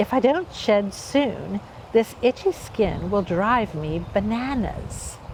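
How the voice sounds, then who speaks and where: A female-sounding, whiny put-on character voice at medium pitch and a fairly slow pace, with clear background noise. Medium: read story. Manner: whining.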